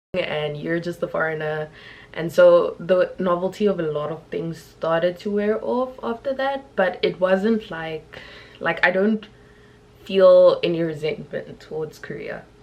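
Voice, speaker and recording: Over noticeable background noise, a woman speaks at a fairly slow pace with medium pitch and ordinary pitch variation. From South Africa. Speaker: YouTuber and English teacher in Korea. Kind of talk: vlog life update.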